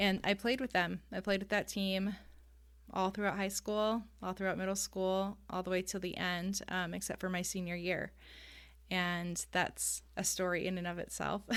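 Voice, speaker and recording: Delivered at a moderate pace with monotone, flat intonation, the speech carries a Californian accent in a very clean recording with a silent background. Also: woman, medium pitch for a woman. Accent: General American (Californian). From US West Coast, San Diego, California. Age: 30s. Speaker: ADHD life coach and youth soccer coach. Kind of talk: podcast interview.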